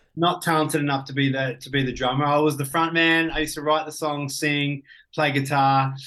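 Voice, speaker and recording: This man has an Australian accent and a bright, sharp tone in a fairly high pitch. He speaks at a fairly quick pace with monotone, flat intonation. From Australia, Ballarat (country Victoria). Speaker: business coach and entrepreneur. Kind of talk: casual interview.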